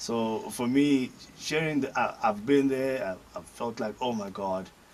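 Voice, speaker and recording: Over noticeable background noise, a man speaks at a medium pitch and a fairly slow pace, with ordinary pitch variation. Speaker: comedian, radio personality, voice over artist. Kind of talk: interview answer. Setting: studio. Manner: casual, chatty, humorous.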